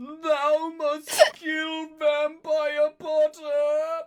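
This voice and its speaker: Shouting in a put-on character voice, the speaker holds a high pitch with monotone, flat intonation. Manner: yelling.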